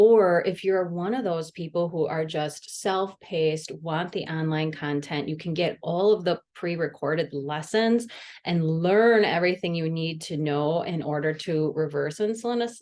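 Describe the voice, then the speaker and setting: A woman with a Midwestern US accent and fairly low pitch, at a moderate pace with hardly any pauses, against a quiet background. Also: ordinary pitch variation. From US Midwest, Wisconsin. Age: 40s. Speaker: dietitian and podcast host. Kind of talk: solo podcast monologue. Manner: casual, chatty.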